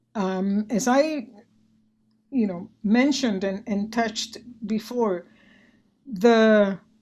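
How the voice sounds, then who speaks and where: A woman with a Spanish accent speaks at a very slow pace, with long, frequent pauses. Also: fairly high pitch for a woman, ordinary pitch variation. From Puerto Rico. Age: 70s. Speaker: retired physician and arts organization director. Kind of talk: interview conversation. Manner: many fillers and repetitions.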